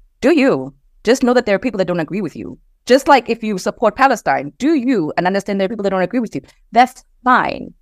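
A woman speaks very fast with a fairly high pitch, very wide pitch swings and vocal fry, on a very clean recording with a silent background and a dry, close sound with no echo. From South Africa. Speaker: diversity and inclusion consultant and coach. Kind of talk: casual interview conversation.

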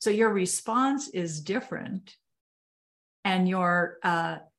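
Pitch moves in an ordinary way in this somewhat breathy voice. Nothing much stirs in the quiet background. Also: woman. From Canada. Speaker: podcast host. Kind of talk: interview. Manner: animated.

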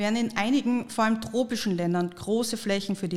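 A woman uses a normal speaking voice with ordinary pitch variation. She talks at a fairly quick pace. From Austria. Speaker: podcast host. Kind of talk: scripted narration.

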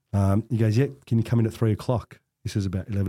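A man with an Australian accent, fairly low-pitched with a dark, mellow tone, in a very clean, silent recording with a dry, close sound and no echo. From Australia, Melbourne (Coburg). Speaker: real estate director. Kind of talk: casual interview conversation.

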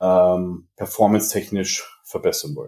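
On a very clean recording with a silent background, a man speaks very slowly in a dark, mellow tone. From Bavaria, Germany (Regensburg). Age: 30s. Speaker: fitness entrepreneur and coach. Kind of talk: casual podcast interview.

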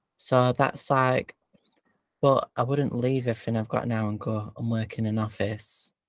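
The sound is dry and close with no echo. A man talks at a fairly slow pace and medium pitch, monotone with flat intonation. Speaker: podcast co-host, business owner. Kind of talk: casual chat. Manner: laughs a lot, chatty.

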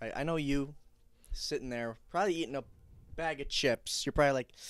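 In an American accent, a man talks at a fairly quick pace with a fairly high pitch, recorded very cleanly against a silent background. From Wisconsin, Waukesha. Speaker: college student. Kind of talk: casual chat.

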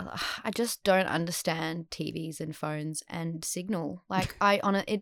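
A woman with an Australian accent speaks very slowly, with a dry, close sound and no echo. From Western Australia, Perth. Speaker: actor. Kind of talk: casual chat. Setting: remote call.

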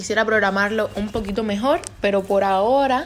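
A woman is speaking. Her pitch is medium. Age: 20s. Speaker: podcaster and neurobiology student. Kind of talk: casual monologue.

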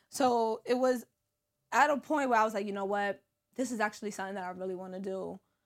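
A woman with a New York accent talks very fast, at a medium pitch with ordinary pitch variation. The recording is very clean, with a silent background. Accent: New York City. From New York City, Brooklyn (East New York). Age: 30s. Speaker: social media comedian and reality TV personality. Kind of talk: casual interview chat. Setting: studio.

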